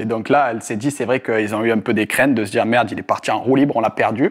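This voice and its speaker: Talking very fast, this man keeps things quick. His voice lands at a medium pitch. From Marseille, southern France. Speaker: sports betting specialist. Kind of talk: casual interview. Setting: in person in Tallinn. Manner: animated, slangy.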